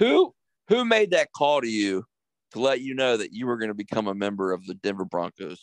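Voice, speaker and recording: This man has a plain, everyday voice and an American accent, pitched in the medium range with lively intonation. He talks at a fairly quick pace, and the sound is dry and close with no echo against a quiet background. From Harrisonburg, Virginia. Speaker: podcast host. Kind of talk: casual chat. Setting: studio.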